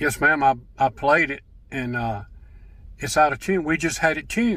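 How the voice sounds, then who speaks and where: Bright, sharp in tone and with lively intonation, the voice moves at a moderate pace with an Alabama accent. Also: man, fairly high pitch for a man. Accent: Southern US (Alabama). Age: 70s. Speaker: gospel singer and church musician. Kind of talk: casual storytelling monologue. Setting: in a truck.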